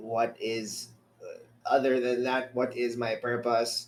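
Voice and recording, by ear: A man puts on a robotic character voice at a medium pitch, speaking at a fairly slow pace.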